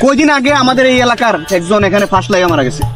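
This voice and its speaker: A man speaks at an extremely high pitch while music plays in the background. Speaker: vlogger. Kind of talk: staged comedy skit. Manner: animated.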